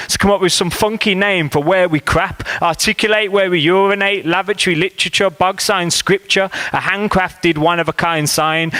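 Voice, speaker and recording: A man speaks at a high pitch and a moderate pace with fairly even intonation. Noticeable background noise runs under the voice. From Birmingham. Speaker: spoken word poet. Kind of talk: comic spoken word poetry performance. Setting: live venue.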